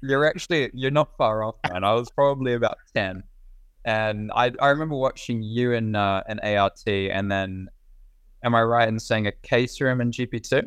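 A man with a New Zealand accent, medium pitch, ordinary pitch variation and a moderate pace. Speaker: racing driver. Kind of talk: casual interview.

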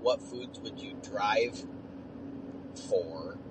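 With noticeable background noise, a man talks at a very slow pace with lively intonation. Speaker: listener leaving a voicemail. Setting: phone voicemail, recorded while driving. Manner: relaxed, chatty, trails off at times.

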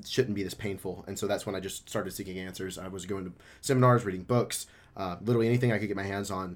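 A man speaks very fast with an American accent. His pitch sits fairly low, and his intonation stays fairly even. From Memphis, Tennessee (US South). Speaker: life and relationship coach. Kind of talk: casual interview.

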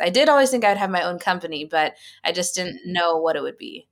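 A woman with an American accent speaks at a medium pitch on a very clean recording with a silent background. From Central Valley of California. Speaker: beverage company founder and CEO. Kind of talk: interview.

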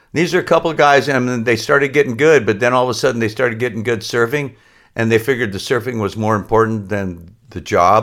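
Very fast speech from a man at a medium pitch, its pitch varying in an ordinary way, on a very clean recording with a silent background. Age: 60s. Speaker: surfboard laminator and shop owner. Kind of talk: casual interview.

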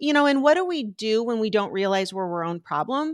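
A woman's plain, everyday voice, fairly high in pitch with lively intonation, in a dry, close sound with no echo and a very clean recording with a silent background. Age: 50s. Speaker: recovery coach. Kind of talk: interview.

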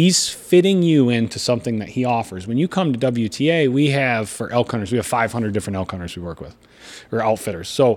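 A man talks at a fairly quick pace with lively intonation. His pitch is medium, and he has an Upper Midwest accent. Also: very clean recording, silent background. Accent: Upper Midwest American. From western Michigan. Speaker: hunting outfitter and TV host. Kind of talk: casual interview. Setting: in person at his home by Lake Michigan.

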